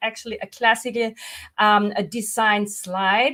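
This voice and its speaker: In an Austrian accent, a woman speaks at a moderate pace. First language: German. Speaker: visual coach. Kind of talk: webinar presentation. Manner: halting.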